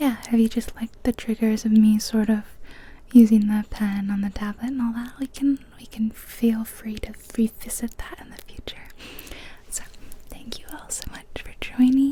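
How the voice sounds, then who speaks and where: A soft-spoken woman whispers with big swings in loudness over noticeable background noise. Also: moderate pace. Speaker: ASMR creator. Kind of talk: ASMR soft-spoken gaming video. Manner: whispering.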